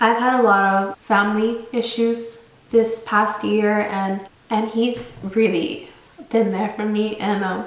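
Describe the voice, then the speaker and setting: A woman's fairly high voice, very slow and monotone with flat intonation, over noticeable background noise and audible room echo. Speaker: YouTuber. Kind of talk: storytime vlog.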